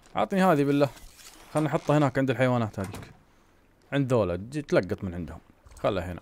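Moving at a very fast pace yet with long, frequent pauses, a man speaks at medium pitch with very wide pitch swings. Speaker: gaming youtuber. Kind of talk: gameplay commentary. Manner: casual, conversational.

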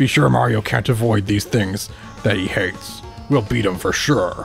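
A man's growling, put-on character voice at a fairly low pitch with very wide pitch swings, over clear music in the background. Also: moderate pace. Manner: menacing, gloating.

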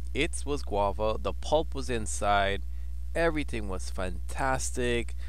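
This man speaks at a very slow pace with a very deep, low pitch. His voice is somewhat breathy, and the sound is dry with no echo. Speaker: travel vlogger. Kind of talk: casual vlog chat. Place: cafe. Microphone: phone near.

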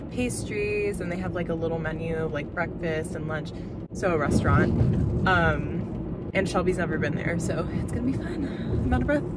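Moderate pace, dry sound with no echo, and loud background noise. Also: woman. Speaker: vlogger. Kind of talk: casual vlog chat. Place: car. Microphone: phone near.

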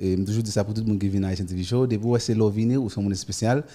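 A man's medium-pitched voice, dark and mellow in tone. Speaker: TV show host. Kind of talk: interview. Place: studio. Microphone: studio mic.

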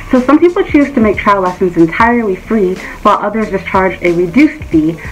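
Over music in the background, a woman talks at a fairly quick pace with ordinary pitch variation. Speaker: private English teacher giving advice. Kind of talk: tutorial. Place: home room. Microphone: phone near.

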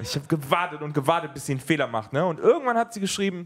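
A man talks very fast with lively intonation. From Germany. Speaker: stand-up comedian. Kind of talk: stand-up. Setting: stage with audience. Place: stage. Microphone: handheld.

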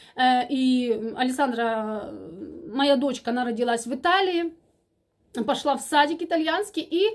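With a Ukrainian accent, a high-voiced woman speaks fairly slowly with lively intonation and long, frequent pauses against a quiet background. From Ukraine. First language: Ukrainian (speaking Russian). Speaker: vlogger. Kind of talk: casual chat. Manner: halting, many filler sounds. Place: home room. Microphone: phone near.

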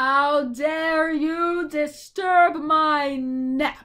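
Bellowing in a put-on character voice, a woman shouts at a high pitch. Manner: furious, bellowing.

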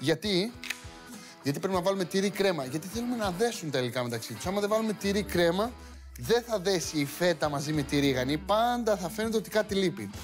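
The man talks fairly quickly. Music is clearly audible behind him. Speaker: TV cooking host. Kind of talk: tutorial. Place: studio.

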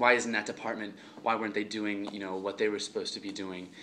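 The tone is bright and sharp, delivered at a fairly quick pace over light background noise. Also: man. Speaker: student reviewing a book. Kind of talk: casual vlog chat. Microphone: phone near.

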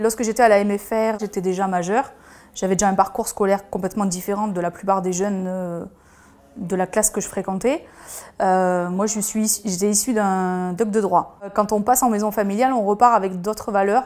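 With fairly even intonation, the speaker keeps to a moderate pace. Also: woman. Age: 40s. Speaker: restaurant owner. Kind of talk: interview testimony. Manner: hesitant, with fillers and repetitions. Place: cafe. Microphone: lapel.

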